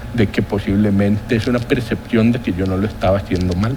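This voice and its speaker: Noticeable background noise sits behind a man's fairly low voice. He speaks at a fairly quick pace with ordinary pitch variation. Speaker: economist, former health-insurance board chairman. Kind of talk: TV interview. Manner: formal.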